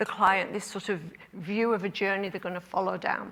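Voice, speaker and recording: In a very clean recording with a silent background, a woman speaks at a moderate pace. Her tone is bright and sharp, with an Australian accent. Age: 60s. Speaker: clinic owner and conference speaker. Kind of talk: conference talk.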